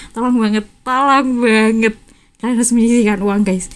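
Pitched high, a woman's voice moves along at a fairly quick pace. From Java, Indonesia. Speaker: student podcast host. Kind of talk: casual chat. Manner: animated.

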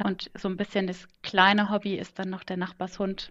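Over a quiet background, a woman talks with monotone, flat intonation. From Kaiserslautern, Palatinate, Germany. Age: 20s. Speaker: management consultant. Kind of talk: casual interview chat. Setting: home office, remote call.

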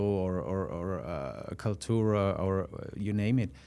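This man has a fairly low pitch and a dark, mellow tone. He speaks with a slight Austrian accent and ordinary pitch variation. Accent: Austrian-accented English, mild. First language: German. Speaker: product manager. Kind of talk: casual interview. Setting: studio. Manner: halting, many fillers.

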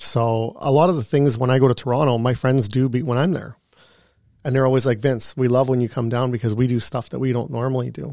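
Very fast, a man speaks with a medium pitch, a dark, mellow tone and fairly even intonation on a very clean recording with a silent background. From Canada, Thunder Bay, Ontario. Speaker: real estate agent. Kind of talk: casual interview. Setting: studio.

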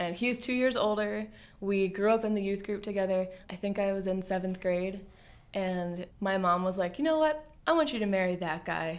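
A woman with an American accent talks at a moderate pace in a medium pitch. Hers is an unremarkable speaking voice with ordinary pitch variation. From US Mid-Atlantic (Bel Air, Maryland). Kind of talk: testimony.

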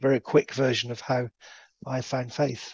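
Vocal fry, fairly even intonation, and a fairly slow pace. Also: man. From England. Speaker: anti-slavery charity worker. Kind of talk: interview.

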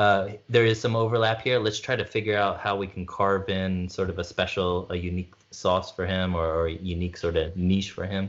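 With a non-native accent, a man speaks at a fairly quick pace with hardly any pauses. His pitch is fairly low and his intonation fairly even. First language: not French. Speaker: podcast co-host. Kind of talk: casual chat. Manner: hesitant, many fillers.

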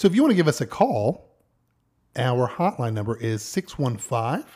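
A man's medium-pitched, somewhat breathy voice with a dark, mellow tone and lively intonation. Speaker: podcast co-host. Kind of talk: casual chat. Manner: nervous-sounding on recordings.

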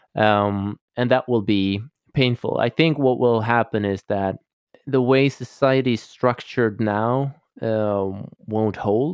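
Very slow speech in a Swedish accent, with ordinary pitch variation and a dry, close sound with no echo. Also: man, medium pitch for a man. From Sweden, Stockholm. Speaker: holistic coach. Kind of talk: interview.

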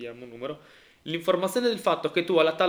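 Lively intonation in a fairly high male voice. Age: 30s. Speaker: podcast co-host. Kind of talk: casual chat. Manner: halting, repeats words.

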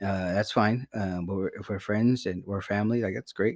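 A man with a plain, everyday voice speaks at a fairly quick pace and fairly low pitch with fairly even intonation, the sound dry and close with no echo in a very clean recording with a silent background. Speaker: podcast host. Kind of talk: casual comedic banter with profanity.

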